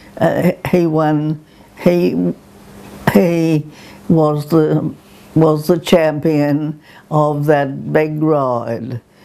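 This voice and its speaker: Noticeable background noise behind a woman's very deep, low-pitched voice, very slow pace and long, frequent pauses, with very even loudness and ordinary pitch variation. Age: 90s. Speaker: ikebana teacher. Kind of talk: oral history interview. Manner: hesitant, reminiscing.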